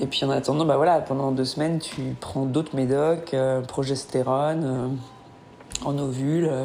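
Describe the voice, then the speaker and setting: A woman speaks in a very deep, low voice at a fairly slow pace, with hardly any pauses. Her intonation is flat and monotone, and there is noticeable background noise. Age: 30s. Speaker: woman pursuing solo fertility treatment. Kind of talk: audio diary. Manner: halting.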